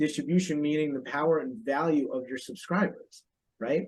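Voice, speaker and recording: A man's voice is fairly high-pitched. He speaks at a fairly quick pace. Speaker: financial publishing executive. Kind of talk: casual chat. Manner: fast; animated.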